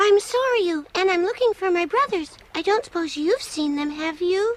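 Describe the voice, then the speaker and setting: A squeaky, cartoonish character voice with an extremely high pitch moves at a moderate pace. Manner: earnest, wistful.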